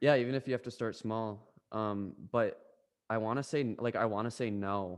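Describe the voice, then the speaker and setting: A man speaks at a moderate pace in an unremarkable speaking voice, his pitch medium with ordinary variation. The recording is very clean, with a silent background. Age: 20s. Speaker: podcast co-host. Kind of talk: casual chat.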